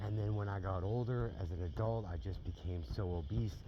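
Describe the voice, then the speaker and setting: Fairly low in pitch, a man's somewhat breathy voice has a dark, mellow tone and ordinary pitch variation. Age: 40s. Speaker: health vlogger. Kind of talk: casual vlog monologue.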